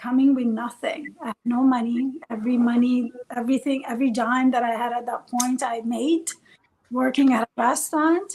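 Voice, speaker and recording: A woman speaks with an Italian accent in a high pitch, keeping her intonation fairly even. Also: moderate pace. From Italy (Bologna), born in Iran. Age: 40s. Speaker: life coach and podcast co-host. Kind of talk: personal life story in a casual interview. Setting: live stream.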